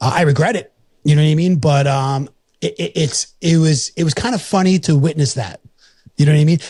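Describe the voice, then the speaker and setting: A man speaks at a fairly quick pace with a somewhat breathy, dark, mellow tone, a fairly high pitch and ordinary pitch variation. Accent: New York. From New York. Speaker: podcast host. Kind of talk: casual chat. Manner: animated.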